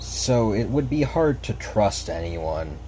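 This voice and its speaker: A man at a very slow pace, with very wide pitch swings and audible room echo. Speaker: gaming video creator. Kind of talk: unscripted commentary over gameplay. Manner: stutter; casual, slightly halting.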